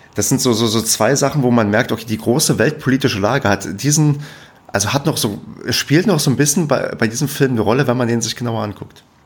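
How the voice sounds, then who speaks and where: A man with a medium pitch speaks at a very fast pace against noticeable background noise. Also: ordinary pitch variation. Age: 30s. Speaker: podcast host. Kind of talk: casual chat.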